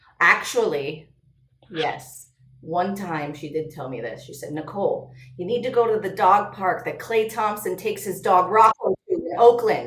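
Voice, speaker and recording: A woman talks at a moderate pace and medium pitch, with lively intonation and an animated tone. Her loudness swings widely, and room echo is audible. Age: 30s. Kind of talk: casual chat.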